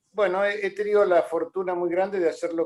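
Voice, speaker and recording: A voice with an Argentine accent is heard in a dry, close recording with no echo. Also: man. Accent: Argentine Spanish (Rioplatense). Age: 70s. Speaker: boxing journalist and author. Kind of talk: interview.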